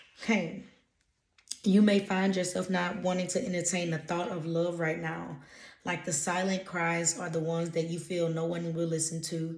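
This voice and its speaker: At a moderate pace, a somewhat breathy voice speaks with monotone, flat intonation amid audible room echo. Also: woman, fairly low pitch for a woman. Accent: American. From US South, Louisiana. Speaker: intuitive spiritual reader. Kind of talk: casual channeled message reading. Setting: reading notes from a laptop.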